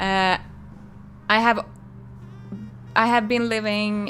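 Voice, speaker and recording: With a strong Finland-Swedish accent, a woman speaks at a medium pitch and a very slow pace. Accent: heavy Finland-Swedish. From Finland, Swedish-speaking. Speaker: crochet designer and streamer. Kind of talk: live stream chat while crocheting. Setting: live stream.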